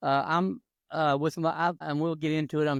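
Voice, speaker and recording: A man with an Appalachian accent speaks at a moderate pace in a fairly high pitch. The sound is dry and close with no echo, over a quiet background. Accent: Appalachian Southern US. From North Carolina mountains. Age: 60s. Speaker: retired gospel drummer. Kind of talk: interview. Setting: podcast.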